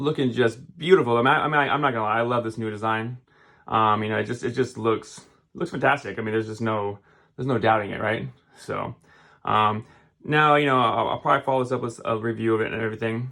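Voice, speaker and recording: Pitch moves in an ordinary way while the words come out at a very fast pace. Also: man, medium pitch for a man. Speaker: tech YouTuber. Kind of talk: unboxing video. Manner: casual; halting, stumbling over words.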